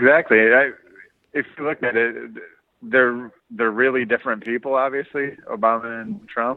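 A man with an American accent speaks in a normal speaking voice. His pitch is medium, with ordinary pitch variation. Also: moderate pace. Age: 30s. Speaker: podcast co-host. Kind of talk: casual chat.

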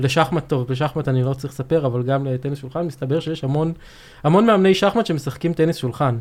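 The talking goes at a very fast pace. Pitch varies in an ordinary way. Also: man, fairly high pitch for a man. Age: 30s. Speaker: software development manager. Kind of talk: technical interview. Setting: studio.

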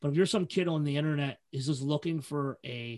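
In an American accent, a man speaks with a plain, everyday voice, a fairly high pitch, ordinary pitch variation and a moderate pace against a quiet background. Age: 40s. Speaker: hardcore festival organizer and podcaster. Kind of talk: casual chat.

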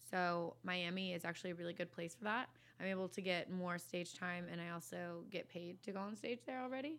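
A woman with a plain, everyday voice and a fairly low pitch speaks at a fairly quick pace with ordinary pitch variation. The recording is very clean, with a silent background. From Virginia, US. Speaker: comedian and content creator. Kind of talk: casual chat. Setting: podcast studio.

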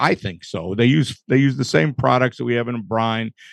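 A plain, everyday voice with an American accent and lively intonation. The sound is dry and close with no echo over a quiet background. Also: man. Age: 60s. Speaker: barbecue pitmaster. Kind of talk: casual chat. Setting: studio with live audience.

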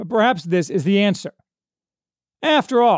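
On a very clean recording with a silent background and a dry, close sound with no echo, a man speaks with very wide pitch swings. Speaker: podcast host reviewer. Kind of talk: literary audiobook-style review narration, read from a script. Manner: earnest, authoritative essayist delivery.

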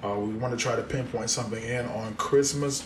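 Speaking at a fairly quick pace with an American accent, a man with a medium pitch is heard over noticeable background noise and audible room echo. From Central Florida (Polk County). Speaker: co-founder of a mental health awareness movement. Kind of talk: casual chat.

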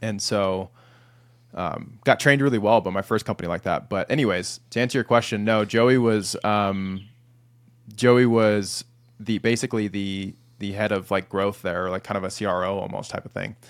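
This is an ordinary speaking voice. It moves at a moderate pace with fairly even intonation. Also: man, fairly low pitch for a man, very clean recording, silent background. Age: 30s. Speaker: sales leader. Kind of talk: interview. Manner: casual, many fillers.

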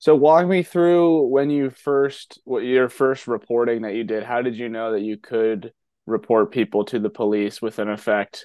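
A man with a normal speaking voice, at a fairly slow pace with ordinary pitch variation. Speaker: podcast host. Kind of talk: interview conversation.

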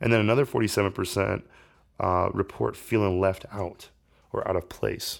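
In a very clean recording with a silent background, a man with an American accent speaks at a fairly low pitch with vocal fry, ordinary pitch variation and a moderate pace. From Indiana, US. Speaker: podcast host. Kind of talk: solo podcast monologue. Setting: home, kitchen table. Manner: casual, filler-heavy.

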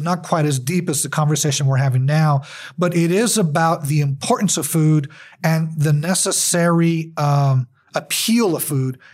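In an American accent, a man speaks with an unremarkable speaking voice, fairly high pitch and ordinary pitch variation. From US Southwest, El Paso, Texas. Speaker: journalism professor and photographer. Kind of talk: interview.

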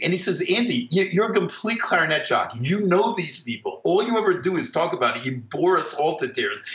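Pitch swings very widely at a fairly quick pace. Background noise is noticeable. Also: man. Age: 50s. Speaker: orchestral clarinetist. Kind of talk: casual interview.

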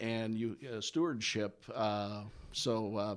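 A man with an American accent in a very clean recording with a silent background. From US Midwest. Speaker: CPA and coach. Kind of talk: casual interview conversation. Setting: radio studio.

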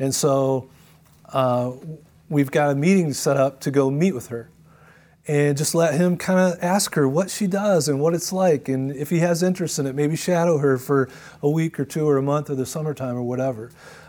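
A man with an American accent, fairly high-pitched with a dark, mellow tone and ordinary pitch variation, at a moderate pace on a very clean recording with a silent background. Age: 60s. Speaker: pastor. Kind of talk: conference talk. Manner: hesitant, with fillers and repeats.

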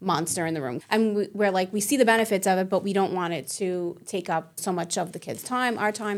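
With an American accent, a woman speaks in an ordinary speaking voice at a medium pitch. Her pace is fairly quick, with hardly any pauses and ordinary pitch variation. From Staten Island, New York City. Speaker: school college placement director. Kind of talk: casual interview. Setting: studio.

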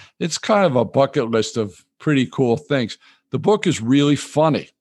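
A man with an ordinary speaking voice talks at a moderate pace with lively intonation against a quiet background. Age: 60s. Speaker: retired financial advisor and author. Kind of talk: interview. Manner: relaxed, chuckling.

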